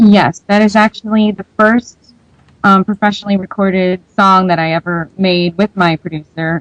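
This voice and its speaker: A woman talks at a moderate pace in a medium-pitched voice. The sound is dry and close, without echo. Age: 20s. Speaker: independent singer-songwriter. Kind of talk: radio interview. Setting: radio show.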